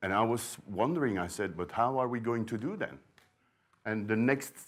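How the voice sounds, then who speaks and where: A man with a Flemish Belgian accent talks at a moderate pace and a fairly low pitch, with ordinary pitch variation. The recording is very clean, with a silent background. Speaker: sourdough librarian, bread expert. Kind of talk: conference talk. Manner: hesitant, many fillers and repeats.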